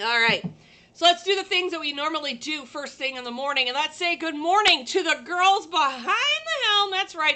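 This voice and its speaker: A woman with a high, raised, projected voice speaks at a moderate pace with very wide pitch swings. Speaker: livestream host, sublimation crafter. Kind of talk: casual livestream chat. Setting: live stream from a working shop. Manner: loud.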